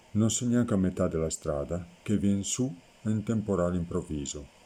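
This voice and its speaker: Very slow and very deep, a man's dark, mellow voice carries lively intonation. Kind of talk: dialect poetry reading.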